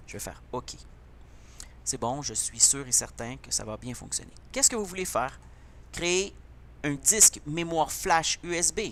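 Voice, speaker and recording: With a Quebec accent, a man speaks at a fairly slow pace and leaves long, frequent pauses. His loudness swings widely. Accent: Québécois. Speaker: computer teacher. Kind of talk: tutorial.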